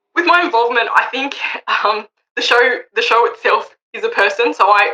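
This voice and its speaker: Bright and sharp in tone, a woman with an Australian accent talks at a fairly quick pace. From Australia, western Sydney. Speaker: wool auctioneer. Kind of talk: interview.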